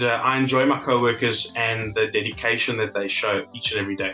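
Faint music plays in the background as a man speaks with ordinary pitch variation and audible room echo. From South Africa. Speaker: legal assistant. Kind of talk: interview answer. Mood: positive, appreciative. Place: home room. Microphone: webcam.

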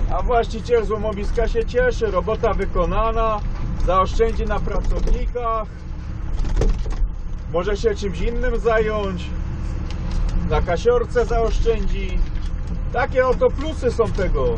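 Speech comes at a very slow pace with long, frequent pauses. Noticeable background noise is present. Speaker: machine operator vlogger. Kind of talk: casual vlog chat. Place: farm machine. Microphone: camera far.

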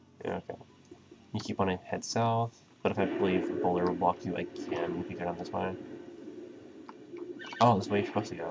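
A man mumbles at a very fast pace with long, frequent pauses, over noticeable background noise. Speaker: let's play commentator. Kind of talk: casual gameplay commentary. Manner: fast, mumbling.

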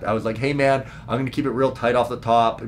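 A man with a Western Canadian accent speaks over light background noise. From Prince George, British Columbia; British Columbia. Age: 30s. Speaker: stand-up comedian; comedian podcaster. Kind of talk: casual solo podcast talk; casual vlog chat. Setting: parents' basement. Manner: animated. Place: home room.

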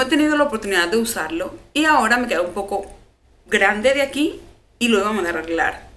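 A woman with a fairly high pitch talks at a fairly quick pace, her voice making very wide pitch swings. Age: 30s. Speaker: beauty YouTuber. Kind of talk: casual vlog talk to camera. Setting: at home. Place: home room. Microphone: phone near.

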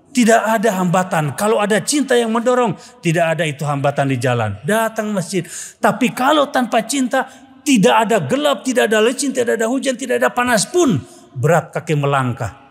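A man speaks fairly quickly in an animated, high voice with very wide pitch swings. The background is quiet. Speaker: Islamic preacher. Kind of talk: humorous sermon. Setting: mosque with congregation. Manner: animated, humorous. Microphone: podium.

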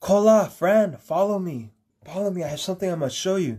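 Using a put-on character voice, a man talks high-pitched at a fairly quick pace. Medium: solo performance. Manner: gentle, inviting, mysterious.

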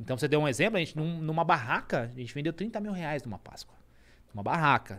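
A man speaks at a fairly quick pace with a fairly high pitch. His pitch swings very widely. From Brazil, Suzano (São Paulo area); São Paulo, Brazil. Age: 30s. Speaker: entrepreneur; podcast guest. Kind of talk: interview. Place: studio. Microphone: studio mic.

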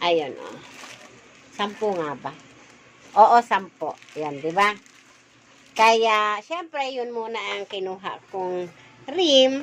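Speaking at a very slow pace, a woman with a fairly high pitch leaves long, frequent pauses. Her pitch swings very widely and her loudness rises and falls a lot. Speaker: sari-sari store owner vlogger. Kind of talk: casual vlog monologue to viewers, chatty store-keeper patter like a street seller's pitch. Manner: cheery, sales-pitch enthusiasm.

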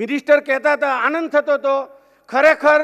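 A man speaks at an extremely high pitch with a monotone, flat intonation. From Gujarat, rural Saurashtra; Gujarat. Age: 50s. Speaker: businessman; speaker. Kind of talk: keynote speech. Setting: stage with audience. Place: hall. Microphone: podium.

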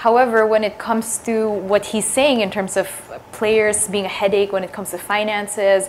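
Woman at a moderate pace with monotone, flat intonation over light background noise. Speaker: sports talk show host. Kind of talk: casual interview. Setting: studio. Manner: casual, chatty. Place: studio. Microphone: lapel.

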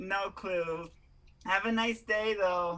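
The speaker uses a put-on character voice. Its pitch sits in the middle range. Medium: comedy sketch. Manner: haughty, sassy, dismissive.

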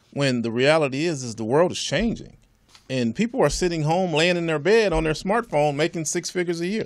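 Over a quiet background, a man with an American accent talks at a fairly quick pace, his pitch fairly high and his intonation lively. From Southern California. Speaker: entrepreneur and land developer; guest. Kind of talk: interview. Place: studio. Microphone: studio mic.

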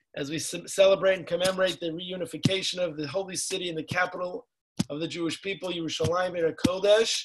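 Over noticeable background noise, a man speaks at a fairly quick pace in a high pitch. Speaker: program host introducing a speaker. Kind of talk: formal introduction. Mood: warm, celebratory. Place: home room. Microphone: video call.

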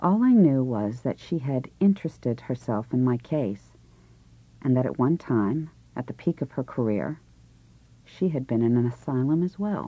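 A woman speaks with an American accent in a very deep, low voice. Her intonation is lively. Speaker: actress. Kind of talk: audiobook novel reading.

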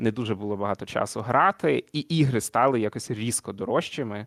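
A man talks in a plain, everyday voice at medium pitch and a moderate pace, with ordinary pitch variation and a dry, close sound with no echo. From Zakarpattia, western Ukraine (Uzhhorod). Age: 20s. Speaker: communications manager and sim racer. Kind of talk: interview. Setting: online call.

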